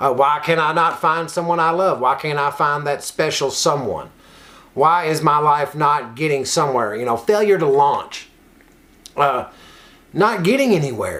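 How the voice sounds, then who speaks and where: A man with a slight Kentucky accent speaks at a moderate pace, his fairly high pitch varying in an ordinary way. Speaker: recovery nonprofit worker and online show host. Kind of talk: casual motivational talk.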